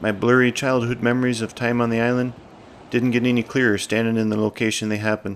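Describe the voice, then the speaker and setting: A man with a Newfoundland accent at a very fast pace, medium pitch and monotone, flat intonation. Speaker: outdoor vlogger. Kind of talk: scripted narration.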